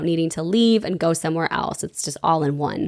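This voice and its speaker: A woman's voice over noticeable background noise. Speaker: local city guide. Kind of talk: casual talk to camera.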